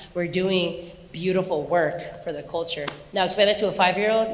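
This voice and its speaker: A woman with an American accent and fairly low pitch speaks at a moderate pace, with audible room echo. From Southern California, Anaheim. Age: 40s. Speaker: dance choreographer and teacher. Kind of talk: talk to students with Q&A. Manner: animated.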